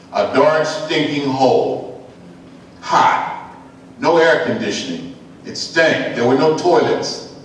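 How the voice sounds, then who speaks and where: A man at a very slow pace, amid noticeable background noise and audible room echo. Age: 60s. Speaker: keynote speaker, historian. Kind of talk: keynote lecture.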